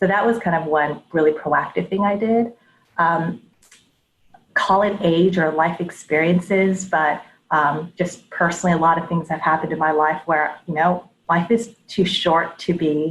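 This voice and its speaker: At a moderate pace, a plain, everyday voice talks with an American accent. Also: woman, fairly low pitch for a woman, fairly even intonation. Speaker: head of data and analytics. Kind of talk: interview before live audience. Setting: live audience event.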